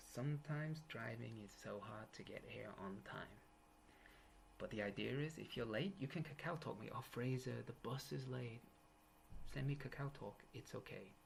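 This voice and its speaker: A man talks at a moderate pace with vocal fry and ordinary pitch variation. Light background noise sits under his voice. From England, east coast. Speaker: university English teacher. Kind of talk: lecture. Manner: casual, joking. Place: home room. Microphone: webcam.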